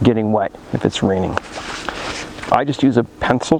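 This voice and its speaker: Noticeable background noise runs under a man's speech. He talks at a moderate pace with ordinary pitch variation. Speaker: firearms instructor YouTuber. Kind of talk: tutorial. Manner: slurring words at times.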